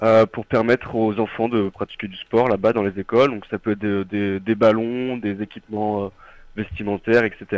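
Fairly low in pitch, a man delivers his words at a moderate pace with flat, monotone intonation. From Nord-Isère, France. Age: 20s. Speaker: engineering student. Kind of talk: radio interview. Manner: halting.

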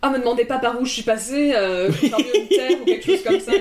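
Over noticeable background noise, a woman speaks loudly at a fairly quick pace with very wide pitch swings. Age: 20s. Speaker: animation student. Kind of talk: casual chat. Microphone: single shared mic, sound issues.

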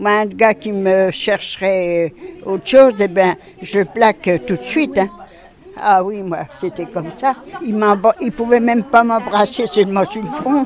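A woman at a medium pitch with lively intonation and a very slow pace, crowd noise in the background. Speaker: care home resident. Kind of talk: interview.

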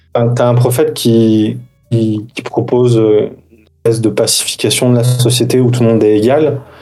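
With music in the background, a man talks at medium pitch with monotone, flat intonation. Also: moderate pace. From France, Algerian mother. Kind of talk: casual chat.

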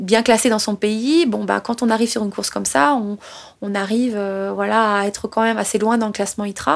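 A woman's normal speaking voice, fairly high-pitched, at a moderate pace. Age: 30s. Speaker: trail runner. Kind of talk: personal storytelling.

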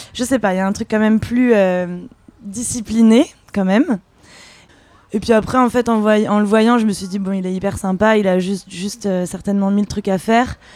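An ordinary speaking voice moves at a moderate pace. The intonation stays fairly even. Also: woman, medium pitch for a woman. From France. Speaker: singer and contemporary dancer. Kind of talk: casual interview. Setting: Paris café.

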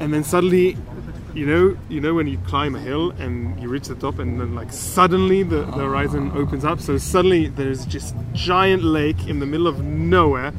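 A man's fairly high voice with very wide pitch swings, at a moderate pace, with audible room echo and noticeable background noise. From Israel. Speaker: backpacker. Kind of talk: casual interview. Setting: hostel. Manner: halting.

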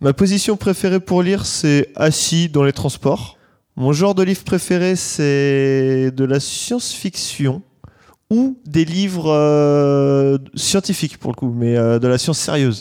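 A man with a dark, mellow tone and fairly high pitch speaks at a very slow pace with very even loudness. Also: ordinary pitch variation. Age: 20s. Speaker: listener answering questionnaire. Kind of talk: recorded questionnaire answers. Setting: sitting on a bed.

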